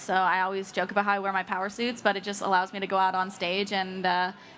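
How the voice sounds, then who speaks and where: Talking very fast with hardly any pauses, a woman at medium pitch keeps a monotone, flat intonation over noticeable background noise. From Canada. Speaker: startup CEO and co-founder. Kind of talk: casual interview. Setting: live recording at a conference.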